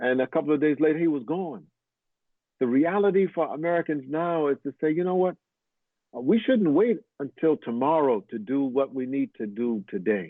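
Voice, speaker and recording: A man talks at a moderate pace in a fairly high voice with lively intonation. It is an unremarkable speaking voice. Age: 60s. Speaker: imam. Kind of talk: fundraising appeal.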